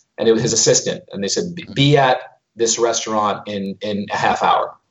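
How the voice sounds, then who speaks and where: A man of medium pitch has an unremarkable speaking voice with ordinary pitch variation. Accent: American. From US, Brooklyn, New York. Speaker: finance executive. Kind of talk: interview.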